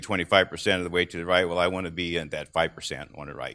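In a very clean recording with a silent background, a man speaks very fast with a bright, sharp tone. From US Midwest, southern Illinois. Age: 60s. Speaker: farm equipment dealer. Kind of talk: conference talk. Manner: halting.

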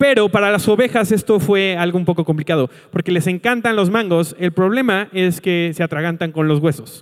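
With a high pitch and ordinary pitch variation, a man talks at a moderate pace. His loudness stays very even and he hardly pauses. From Mexico, Colima. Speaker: pastor. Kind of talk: sermon. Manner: animated.

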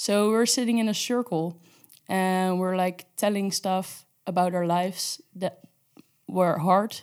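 Here a woman talks at a fairly slow pace. Her medium pitch stays fairly even. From Netherlands. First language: Dutch. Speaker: intern sharing personal story. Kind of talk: testimony.

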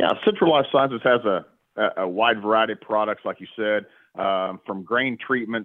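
With an American accent, a man speaks at a moderate pace in a fairly low pitch. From Oklahoma, Stillwater. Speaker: livestock industry product representative. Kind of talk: interview about cattle fly control.

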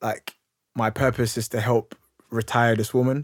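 Speaking at a fairly quick pace with a London accent, a man's medium-pitched voice comes through dry and close, with no echo, in a very clean recording with a silent background. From London, Hackney. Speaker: youth worker and speaker. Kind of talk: interview, personal story.

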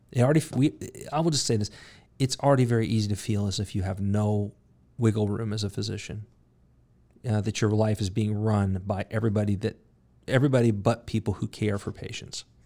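A man with a dark, mellow tone and fairly low pitch talks at a very fast pace but leaves long, frequent pauses. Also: ordinary pitch variation, very clean recording, silent background. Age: 50s. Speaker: podcast host and medical professor. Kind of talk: casual interview podcast. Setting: studio office. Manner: halting, many fillers.

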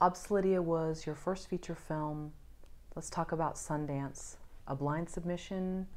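A woman with a normal speaking voice talks at a fairly slow pace, her fairly low pitch held in fairly even intonation. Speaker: interviewer. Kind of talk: interview.

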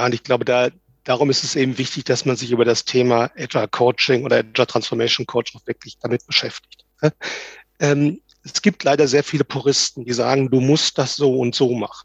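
With a plain, everyday voice, a man speaks at a fairly quick pace and medium pitch, his intonation fairly even in a dry, close sound with no echo. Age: 50s. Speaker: agile transformation coach. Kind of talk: interview.

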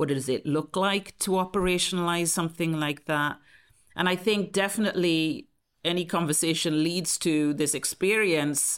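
A woman speaks with a Welsh accent and ordinary pitch variation. The recording is very clean, with a silent background. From South Wales. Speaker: public health researcher. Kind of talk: interview answers.

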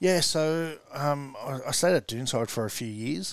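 A man with an Australian accent at a moderate pace, ordinary pitch variation, and a dry, close sound with no echo. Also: very clean recording, silent background. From Australia, western Sydney. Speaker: rugby league coach. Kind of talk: casual chat.

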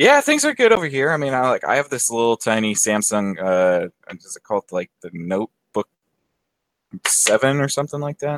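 Here is a man with a normal speaking voice at a medium pitch. He talks at a fairly quick pace with lively intonation and big swings in loudness. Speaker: friend, co-guest. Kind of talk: casual chat. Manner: joking, playful.

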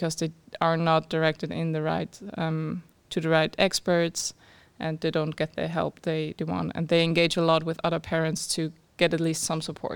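A woman speaks with a German accent and a fairly low pitch. Her intonation stays monotone and flat. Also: moderate pace, very clean recording, silent background. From Austria. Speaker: startup founder. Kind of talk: interview.

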